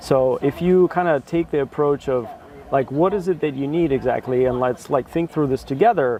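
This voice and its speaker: Over noticeable background noise, a man speaks at a very fast pace. His voice is fairly high, with ordinary pitch variation. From Russia. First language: Russian. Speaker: BI consultant. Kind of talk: casual interview. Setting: sit-down chat.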